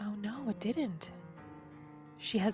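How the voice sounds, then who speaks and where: Music plays in the background as a woman speaks at a medium pitch in a calm, soothing tone. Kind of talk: ASMR gaming roleplay narration. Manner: calm, soothing, soft-spoken.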